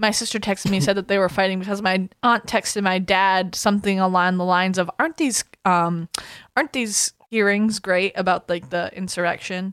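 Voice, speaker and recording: Her unremarkable speaking voice has an American accent, a medium pitch and fairly even intonation, and this woman moves at a fairly quick pace in a dry, close sound with no echo. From Massachusetts. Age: 30s. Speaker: true crime podcast co-host. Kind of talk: casual chat.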